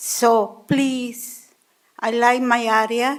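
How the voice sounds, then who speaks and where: A woman speaks with a Spanish accent. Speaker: resident speaking at public hearing. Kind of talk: public comment. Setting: city planning commission meeting. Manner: halting.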